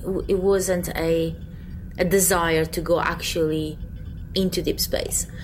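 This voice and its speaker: A woman with a non-native accent speaks at a fairly slow pace, leaving long, frequent pauses over noticeable background noise. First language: not English. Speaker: podcast co-host. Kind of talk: casual chat.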